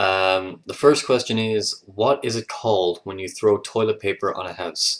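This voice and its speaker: A man with a Leinster accent speaks at a fairly low pitch. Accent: Irish (Leinster). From Ireland, Leinster (east). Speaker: vlogger. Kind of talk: casual video response reading word list. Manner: hesitant, many fillers.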